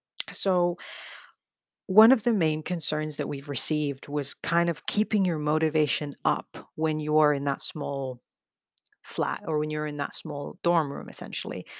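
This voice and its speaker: On a very clean recording with a silent background, a woman with a very deep, low pitch and ordinary pitch variation speaks at a fairly slow pace, the sound dry and close with no echo. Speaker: podcast host, student project coordinator. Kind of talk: casual advice talk.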